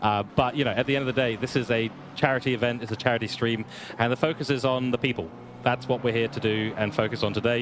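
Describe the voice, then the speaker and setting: Against noticeable background noise, a man with a medium pitch speaks at a very fast pace with fairly even intonation. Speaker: sim racing commentator. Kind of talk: live stream commentary chat. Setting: online live stream over internet connection.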